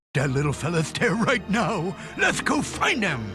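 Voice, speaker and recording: A man uses a put-on character voice with a high pitch. He talks at a moderate pace. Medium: fan dub. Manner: bouncy, exuberant.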